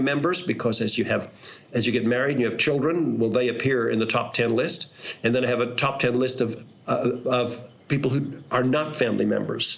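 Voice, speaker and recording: Through noticeable background noise and audible room echo, a man speaks at a moderate pace and a medium pitch with fairly even intonation. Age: 60s. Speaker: pastor. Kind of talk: reflective storytelling monologue. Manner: halting, with repeated words.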